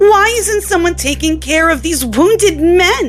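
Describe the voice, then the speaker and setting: Over clear background music, a woman in a put-on character voice speaks at a moderate pace with an extremely high pitch. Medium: read story. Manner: sharp, confrontational.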